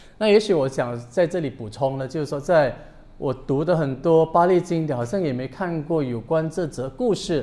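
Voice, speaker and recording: Fairly quick and fairly high-pitched, a man talks with ordinary pitch variation. His tone is dark and mellow. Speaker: Buddhist monk. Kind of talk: dharma talk. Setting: temple with audience. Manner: bilingual code-switching. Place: hall.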